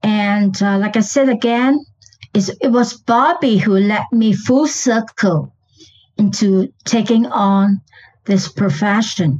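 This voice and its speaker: Somewhat breathy and fairly high, a woman's voice moves at a very slow pace with ordinary pitch variation and very even loudness. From Malaysia. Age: 70s. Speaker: guest, pet illustrator. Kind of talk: storytelling, casual interview.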